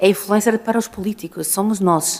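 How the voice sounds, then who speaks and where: Over noticeable background noise, a woman talks at a moderate pace with monotone, flat intonation. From northern Portugal. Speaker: urban mobility engineer and consultant. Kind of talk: conference talk.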